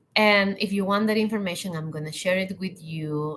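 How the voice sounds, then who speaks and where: A woman's medium-pitched voice in a Spanish accent with ordinary pitch variation. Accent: non-native English, Spanish-speaking. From Latin America. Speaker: hospitality and leadership coach. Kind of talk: live online talk.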